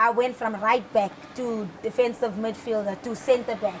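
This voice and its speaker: There is a woman speaking at a fairly high pitch. Noticeable background noise runs behind her. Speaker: footballer. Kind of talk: interview. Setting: studio.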